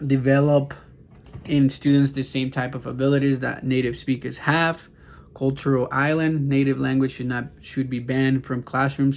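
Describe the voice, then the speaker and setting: A man's medium-pitched voice with a Spanish accent. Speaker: student. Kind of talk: class assignment presentation. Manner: halting, many fillers.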